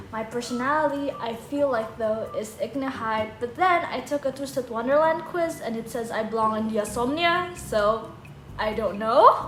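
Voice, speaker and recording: Someone with a non-native accent speaks at a moderate pace with ordinary pitch variation, with music in the background and audible room echo. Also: woman, high pitch for a woman. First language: not English. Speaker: fan content creator. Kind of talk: casual Q&A chat. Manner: animated.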